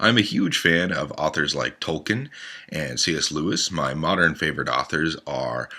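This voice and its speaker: A man's very deep, low voice, bright and sharp in tone, with vocal fry, lively intonation and a moderate pace. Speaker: podcast host. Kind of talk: self-introduction monologue.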